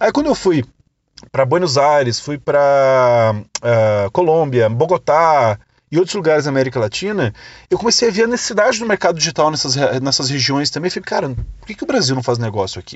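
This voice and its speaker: An animated man talks at a fairly quick pace and fairly high pitch, with very wide pitch swings and big swings in loudness. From Brazil, interior of Rio Grande do Sul. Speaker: podcast host, digital marketing entrepreneur. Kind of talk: casual storytelling monologue.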